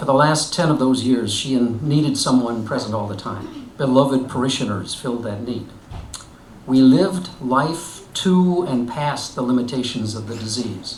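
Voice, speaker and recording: At a moderate pace, the speaker's loudness swings widely while the pitch varies in an ordinary way, over noticeable background noise. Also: man, medium pitch for a man. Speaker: retired pastor. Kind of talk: personal essay reading.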